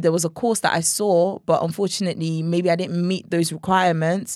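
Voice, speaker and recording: On a very clean recording with a silent background, a woman with a Nigerian accent and fairly low pitch speaks at a moderate pace in a monotone, flat intonation. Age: young. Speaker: gospel singer. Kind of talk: casual interview chat. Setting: studio.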